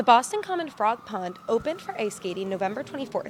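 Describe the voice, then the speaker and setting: Over noticeable background noise, a woman with fairly high pitch speaks at a very fast pace. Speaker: multimedia journalist. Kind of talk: TV news report.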